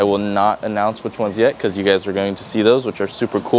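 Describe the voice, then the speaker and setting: A man talks at a fairly low pitch over light background noise. The sound is dry, with no echo. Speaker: channel host. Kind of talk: casual vlog chat. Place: garage.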